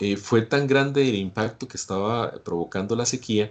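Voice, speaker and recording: A Costa Rican accent at a moderate pace, ordinary pitch variation, with music in the background. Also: man. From Costa Rica, Guanacaste. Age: 60s. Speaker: climate scientist presenter. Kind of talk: lecture. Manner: hesitant, many fillers.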